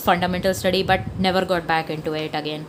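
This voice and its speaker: With a strong Indian accent, a woman speaks fairly quickly at a fairly low pitch with ordinary pitch variation, amid noticeable background noise. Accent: heavy Indian. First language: Hindi. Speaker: comic artist. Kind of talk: casual sketchbook tour talk. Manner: chatty, rambling.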